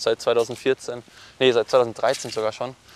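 Medium-pitched male voice, dry and close with no echo, against noticeable background noise. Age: 20s. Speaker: professional triathlete. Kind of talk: interview conversation. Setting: outdoors, walking. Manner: hesitant, many fillers.

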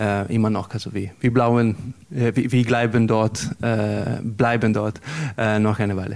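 A man with an Italian accent speaks fairly slowly in a fairly low, monotone, flat voice against noticeable background noise. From coastal Italy. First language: Italian (speaking German). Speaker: musician. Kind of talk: interview. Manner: halting.

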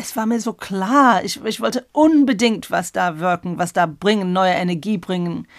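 A woman with a medium-pitched voice and lively intonation talks at a moderate pace in a very clean recording with a silent background. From England. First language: English (speaking German). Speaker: exhibition curator. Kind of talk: interview. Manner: halting.

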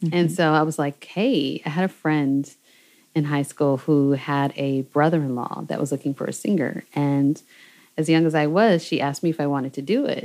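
With an American accent, this voice carries ordinary pitch variation. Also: woman, very clean recording, silent background. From US West Coast, Seattle. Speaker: singer-songwriter and producer. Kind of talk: interview conversation. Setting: recording, no camera. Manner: animated.

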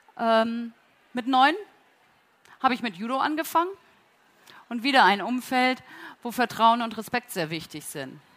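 Pausing long and often, a woman with a fairly high pitch talks at a moderate pace with lively intonation and big swings in loudness. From northern Germany, Flensburg. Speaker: company co-founder and executive. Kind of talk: conference talk. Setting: auditorium at a trade fair, amplified.

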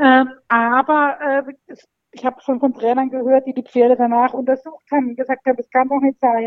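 A woman speaks at a high pitch and a moderate pace. Her intonation is monotone and flat. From Baden-Baden, southwest Germany. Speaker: amateur jockey examiner. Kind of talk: casual interview. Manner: hesitant, many fillers.

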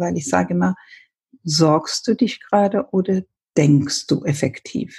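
Speaking at a moderate pace, a woman uses a fairly low pitch with ordinary variation. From Ethiopia. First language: Amharic and English (speaking German). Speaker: paediatrician and author. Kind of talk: interview. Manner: halting.

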